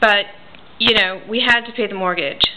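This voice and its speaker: Moderate pace and fairly even intonation with an American accent, over noticeable background noise. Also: woman. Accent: New Jersey accent, noticeable to locals. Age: 40s. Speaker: reborn doll artist and writer. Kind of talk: casual personal vlog. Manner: casual, with frequent fillers.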